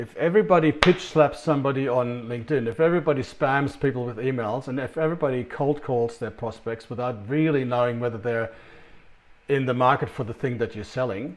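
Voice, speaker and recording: A man with a non-native accent talks at a fairly quick pace. His medium pitch shows ordinary variation. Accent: foreign-sounding, noticeable. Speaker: sales consultant. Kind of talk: business presentation. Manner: hesitant, many fillers.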